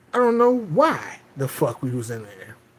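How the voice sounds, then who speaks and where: The speaker has an American accent and an animated tone. The pitch swings very widely at a moderate pace. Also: man. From US South. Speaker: livestreamer. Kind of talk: casual chat. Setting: home livestream.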